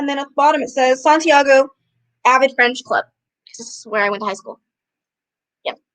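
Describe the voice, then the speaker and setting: A woman speaks at a high pitch and a fairly quick pace, with ordinary pitch variation. Her loudness swings widely, and her pauses are long and frequent. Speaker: booktuber livestream host. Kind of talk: casual livestream chat. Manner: eating while talking.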